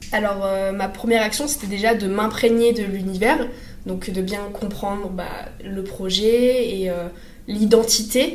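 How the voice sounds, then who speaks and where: A woman speaks at medium pitch with fairly even intonation. Audible room echo and noticeable background noise surround her voice. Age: 20s. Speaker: communication student and former intern. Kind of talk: casual interview. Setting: in person in an office.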